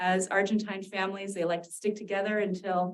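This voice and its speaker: With a Californian accent, a woman speaks at a moderate pace and a medium pitch. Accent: General American (California). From San Diego, California. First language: Spanish. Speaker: university dean and professor. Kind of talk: talk to retirees association.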